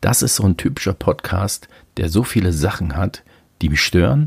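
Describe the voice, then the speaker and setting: Somewhat breathy and very deep, a man's low voice moves at a moderate pace with lively intonation in a dry, close sound with no echo. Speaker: podcaster. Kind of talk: solo monologue. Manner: casual, with many fillers.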